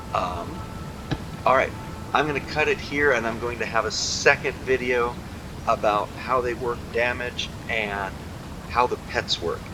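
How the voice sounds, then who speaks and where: Long, frequent pauses break up a man's fairly slow speech, which sits at a medium pitch over noticeable background noise. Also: ordinary pitch variation. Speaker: gaming youtuber. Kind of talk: game tutorial.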